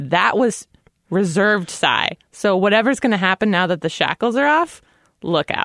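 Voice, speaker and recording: With an ordinary speaking voice, a woman at a medium pitch keeps very even loudness and lively intonation at a moderate pace. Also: dry, close sound with no echo. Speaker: podcast host. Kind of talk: casual chat.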